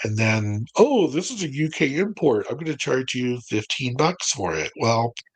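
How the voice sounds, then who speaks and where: At a moderate pace, a man talks with an American accent. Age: 60s. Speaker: music collector. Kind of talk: casual chat.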